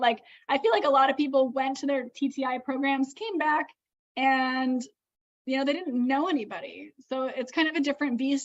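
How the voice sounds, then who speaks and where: Speaking loudly at a moderate pace, the woman has a high-pitched voice. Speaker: event organizer and livestream host. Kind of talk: livestream chat. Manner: stumbling, many fillers.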